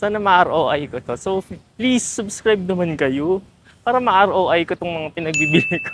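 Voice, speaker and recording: Amid noticeable background noise, a woman with a fairly low pitch makes very wide pitch swings. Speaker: travel vlogger. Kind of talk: casual vlog. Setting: outdoors walking. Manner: animated.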